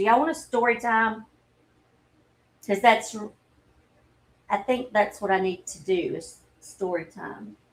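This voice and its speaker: A woman with a Southern US accent and a fairly high pitch, with long, frequent pauses and big swings in loudness. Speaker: livestreamer. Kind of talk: casual chat. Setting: livestream.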